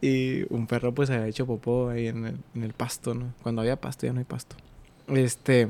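An ordinary speaking voice, a man at medium pitch and a moderate pace. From Mexico, Ciudad Acuña, Coahuila. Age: 20s. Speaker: podcast guest, radio host. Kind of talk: casual chat.

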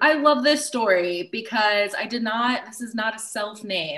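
Here is a woman with a fairly high pitch, ordinary pitch variation and a normal speaking voice. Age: 30s. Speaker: loctician. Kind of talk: casual chat.

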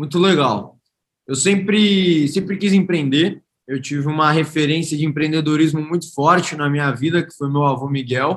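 A man with an unremarkable speaking voice talks at a moderate pace and a fairly high pitch with ordinary variation. His loudness swings widely. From Brazil, Santos (São Paulo state). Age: 20s. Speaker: startup founder. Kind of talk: interview.

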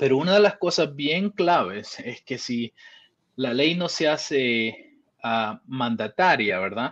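Very slow in pace, a man speaks at a fairly high pitch. His pitch swings very widely. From El Salvador. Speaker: Bitcoin commentator. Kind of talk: casual interview. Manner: halting, many repetitions and fillers.

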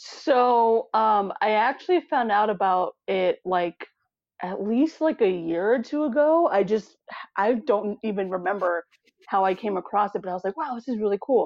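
A woman with an American accent uses a normal speaking voice, fairly high in pitch, with lively intonation and a moderate pace. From US Arizona. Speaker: interviewee, fitness enthusiast. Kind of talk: casual interview chat.

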